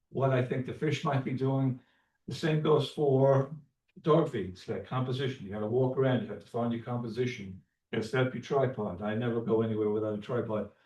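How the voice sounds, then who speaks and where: A man with a New York accent, medium in pitch, dark and mellow in tone, somewhat breathy, with ordinary pitch variation at a very fast pace. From New York, Long Island. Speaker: landscape photographer and fly fisherman presenting to a club. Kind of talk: club presentation talk. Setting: community center meeting room, also on Zoom. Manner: halting, many fillers.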